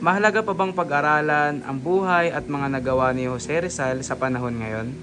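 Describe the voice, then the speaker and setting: Over noticeable background noise, a man talks at a fairly quick pace in a fairly high voice that swings very widely in pitch. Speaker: student interviewer. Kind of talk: interview; recorded reflection.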